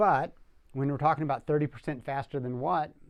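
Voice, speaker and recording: A man speaks at a very fast pace with a fairly high pitch and lively intonation, in a very clean recording with a silent background. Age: 60s. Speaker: professional cleaner and product reviewer. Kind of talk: product review demonstration. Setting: studio workshop. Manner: halting, with frequent restarts.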